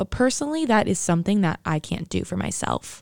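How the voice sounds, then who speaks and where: A woman with an American accent talks at a fairly quick pace, with a medium pitch and a dark, mellow tone. The very clean recording has a silent background and a dry, close sound with no echo. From New Jersey. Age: young. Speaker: podcast host, college student. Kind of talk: solo monologue podcast.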